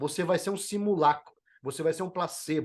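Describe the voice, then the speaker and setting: A man speaks high in pitch, with lively intonation and an animated tone. The background is quiet. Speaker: motivational speaker and leadership trainer. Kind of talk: podcast interview. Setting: podcast.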